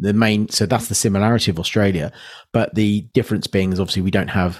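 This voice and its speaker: In a British accent, a man speaks with a fairly low pitch. His intonation is fairly even, on a very clean recording with a silent background. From UK. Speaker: podcast host and military veteran. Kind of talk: interview.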